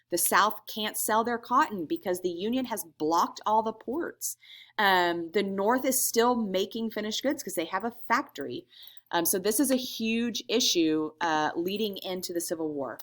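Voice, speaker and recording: At a moderate pace, a woman with an ordinary speaking voice talks at a medium pitch with lively intonation on a very clean recording with a silent background. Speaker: teacher. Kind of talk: recorded lecture. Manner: casual, filler-heavy.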